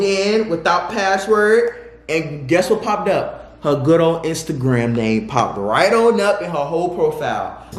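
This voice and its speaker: The speech moves at a fairly slow pace with lively intonation. Noticeable background noise and audible room echo are present. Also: man. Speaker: YouTuber telling personal stories. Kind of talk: storytime monologue.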